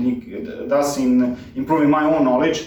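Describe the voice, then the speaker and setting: A man with a Serbian accent speaks at a fairly high pitch. Audible room echo and noticeable background noise come through. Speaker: cycling mechanic YouTuber. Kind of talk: direct-to-camera channel introduction. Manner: halting, many filler words. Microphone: poor audio quality, cheap microphone.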